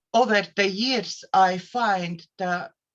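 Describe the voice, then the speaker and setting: In a Latvian accent, a woman of medium pitch speaks at a very slow pace with ordinary pitch variation. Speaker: therapist and life coach. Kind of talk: casual self-introduction on a live show. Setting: live online show. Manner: halting, with fillers.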